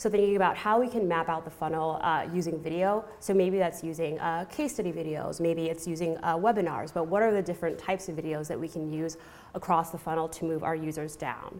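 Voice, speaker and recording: In an American accent, a woman talks at a fairly quick pace with hardly any pauses and fairly even intonation. Her pitch is fairly low, and there is audible room echo. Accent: American, non-British. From California. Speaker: marketing professional. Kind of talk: conference talk. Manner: hesitant, many fillers.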